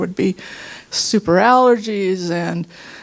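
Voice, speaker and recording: A woman's voice sits at medium pitch. Background noise is noticeable. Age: 60s. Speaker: workshop participant sharing healing story. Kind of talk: testimony.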